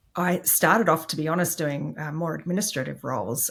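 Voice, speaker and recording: With an Australian accent, a woman speaks at a moderate pace in a very deep, low voice with ordinary pitch variation. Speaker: IT executive. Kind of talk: interview.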